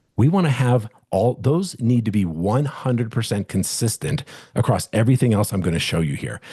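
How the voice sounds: His dark, mellow tone carries a slightly husky edge as this man talks with lively intonation. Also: fairly low pitch for a man, moderate pace.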